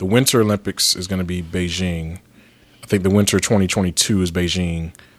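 His pitch sits very deep and low. The man talks at a fairly quick pace. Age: 30s. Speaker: returning guest host. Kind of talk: casual chat.

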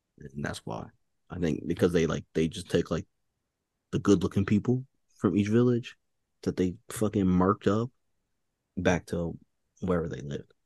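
A man's very deep, low voice with a New York accent and a dark, mellow tone, at a moderate pace with lively intonation and long, frequent pauses, in a dry, close sound with no echo. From New York, Queens. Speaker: podcast guest. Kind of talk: casual chat.

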